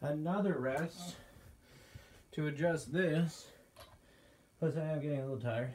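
Light background noise sits under the voice. The pace is moderate, with ordinary pitch variation. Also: man. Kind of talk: rep counting and casual vlog chat. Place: home room. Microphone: phone near.

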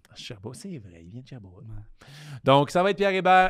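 A man speaks with a Quebec accent against a quiet background. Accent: Québécois French. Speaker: comedian and podcast co-host; comedian, podcast co-host. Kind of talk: casual chat. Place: studio. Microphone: studio mic.

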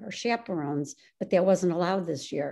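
Her tone is dark and mellow. This woman's pitch shifts in an ordinary way. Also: quiet background. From Illinois. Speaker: synagogue administrator and community volunteer; interviewee. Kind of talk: interview. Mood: warm, reflective. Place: home room. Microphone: video call.

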